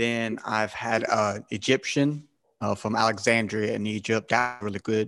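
A man speaks at a fairly slow pace with a Southern US accent. His pitch sits in the medium range. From South Carolina, US South. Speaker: podcast host. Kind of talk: casual chat.

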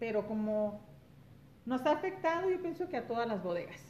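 Using very wide pitch swings, a woman speaks at a moderate pace. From Los Angeles, California, Mexican-American. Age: 40s. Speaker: guest. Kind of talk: casual chat. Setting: at the host's home.

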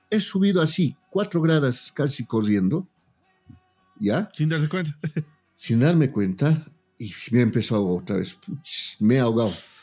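With music in the background, a man speaks at a moderate pace and fairly high pitch, his pitch swinging very widely, with long, frequent pauses. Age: 40s. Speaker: politician and TikToker. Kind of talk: casual chat. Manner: animated.

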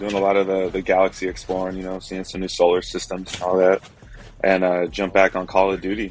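A man's very deep, low pitch at a fairly quick pace, with noticeable background noise. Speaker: podcast host. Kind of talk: casual banter.

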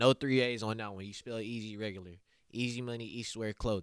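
A man talks with an American accent in a plain, everyday voice. His pitch is medium and his intonation fairly even, on a very clean recording with a silent background. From Oklahoma City east side. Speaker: rapper and clothing entrepreneur. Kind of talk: casual interview.

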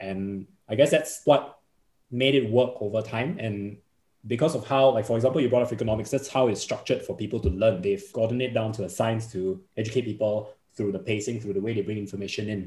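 At a fairly quick pace, a man with a Singaporean accent speaks in a medium-pitched, somewhat breathy voice with a dark, mellow tone and ordinary pitch variation. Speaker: podcaster, insurance trainer. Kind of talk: casual interview chat.

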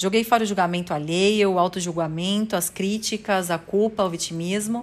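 In a plain, everyday voice, a woman talks at a moderate pace and medium pitch with ordinary pitch variation. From São Paulo, Brazil. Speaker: sales coach and podcast creator. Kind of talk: personal testimony monologue.

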